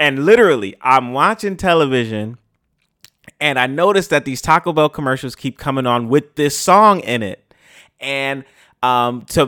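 A man speaks fairly quickly with a New York accent, his voice at a medium pitch with ordinary variation. The tone is bright and sharp, and the recording is very clean with a silent background. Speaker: podcast host. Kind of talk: casual interview chat. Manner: casual, uses slang and profanity.

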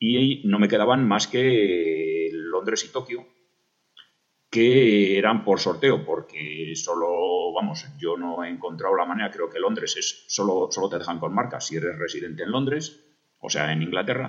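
A man's fairly low-pitched, fairly slow delivery in a normal speaking voice. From Spain, Burgos. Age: 50s. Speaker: amateur marathon runner. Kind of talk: recorded personal story.

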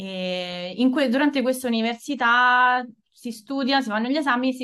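A woman is speaking. Her pace is moderate. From Italy. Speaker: speech therapist. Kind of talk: interview. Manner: halting.

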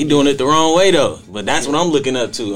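A man with an American accent at a fairly quick pace, an unremarkable speaking voice with ordinary pitch variation. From Canton, Ohio. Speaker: youth mentoring program director. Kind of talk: casual group conversation. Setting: podcast studio.

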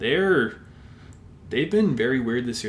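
In a Canadian accent, a man with a medium pitch and ordinary pitch variation speaks in an unremarkable speaking voice. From Alberta, Canada (Sherwood Park). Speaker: sports podcast co-host. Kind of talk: casual chat.

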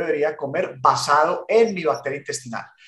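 A man speaks at a moderate pace in a bright, sharp tone. His pitch swings very widely. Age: 40s. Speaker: podcast co-host. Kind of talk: casual chat.

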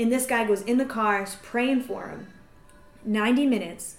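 A woman's ordinary speaking voice, fairly high-pitched, at a fairly quick pace. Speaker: evangelist podcast host. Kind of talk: casual chat.

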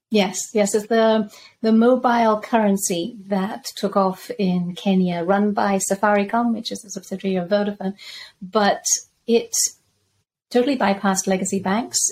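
Speaking at a moderate pace, a woman uses a medium pitch that is somewhat breathy, with fairly even intonation. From Zambia. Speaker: crypto and macro researcher. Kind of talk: podcast interview.

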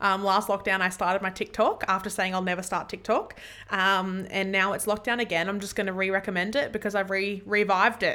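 The speaker has an Australian accent and a bright, sharp tone, with monotone, flat intonation. The pace is fairly quick with hardly any pauses, in a very clean recording over a silent background. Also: woman, medium pitch for a woman. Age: 20s. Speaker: podcast host. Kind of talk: casual chat. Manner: halting.

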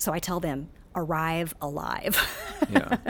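A woman's very deep, low voice on a very clean recording against a silent background. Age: 50s. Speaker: sociology professor, gerontology. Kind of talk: interview. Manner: halting with many fillers.

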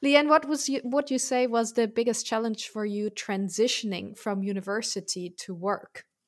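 A woman with a German accent, fairly high in pitch, with lively intonation at a moderate pace, on a very clean recording with a silent background. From Germany. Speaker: podcast host and career coach. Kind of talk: interview, hosting a podcast.

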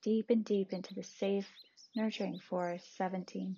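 A woman with a medium pitch speaks in a gentle, soothing tone that is somewhat breathy. Her intonation stays monotone and flat. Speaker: meditation podcaster and guide. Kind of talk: guided meditation visualization. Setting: home recording, possible background noise. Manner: slow, soothing, calm, paced counting; gentle, soft-spoken.

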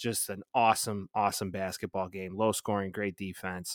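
A man's monotone, flat delivery on a very clean recording with a silent background. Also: dry, close sound with no echo. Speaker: sports podcast host. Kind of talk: casual banter sports talk. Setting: recording in the evening. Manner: joking, profane, banter.

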